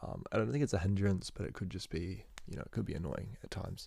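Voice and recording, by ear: A man with a low pitch talks fast, with ordinary pitch variation. His slightly mellow tone carries some vocal fry.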